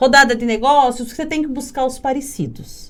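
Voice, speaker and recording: In an audible room echo, a woman speaks at a moderate pace with a high pitch. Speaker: podcast host. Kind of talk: casual interview chat. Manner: loud.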